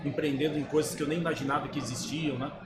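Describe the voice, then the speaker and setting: A man's fairly high, monotone, flat voice with audible room echo and noticeable background noise. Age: 60s. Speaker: sales agency founder. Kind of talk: podcast interview. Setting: trade fair.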